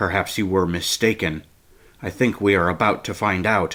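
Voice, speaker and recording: A growling put-on character voice from a man, very deep and low, fairly even intonation, very clean recording with a silent background. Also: moderate pace. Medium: read story. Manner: even, low, terse.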